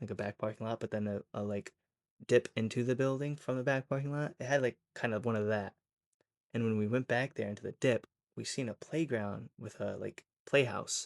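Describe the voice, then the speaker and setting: A man with an unremarkable speaking voice and medium pitch talks with fairly even intonation on a very clean recording with a silent background and dry, close sound with no echo. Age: 20s. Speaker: storytime creator. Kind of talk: casual storytelling. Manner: casual, many filler words.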